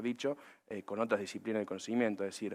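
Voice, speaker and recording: A man with a Córdoba accent speaks at a fairly low pitch in a monotone, flat intonation over a quiet background. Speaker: agribusiness panelist. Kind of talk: panel discussion. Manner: many filler hesitations.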